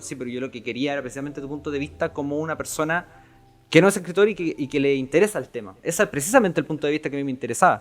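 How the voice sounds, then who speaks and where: Very fast speech from a man with a Chilean accent, fairly high in pitch. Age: young. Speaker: podcast host and writer. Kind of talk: casual chat.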